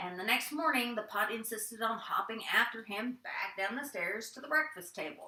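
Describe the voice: Lively intonation over plain reading aloud.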